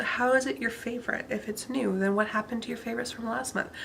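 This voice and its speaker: A woman talks in a fairly high pitch. Noticeable background noise can be heard. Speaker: beauty vlogger. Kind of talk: casual vlog monologue. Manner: monotone.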